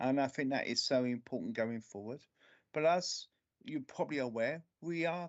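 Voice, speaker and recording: With a strong London accent, a man talks at a moderate pace in a fairly high pitch with ordinary pitch variation. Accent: London accent, still strong. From central London (Camden). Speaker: local councillor. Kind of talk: committee meeting remarks. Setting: remote video meeting.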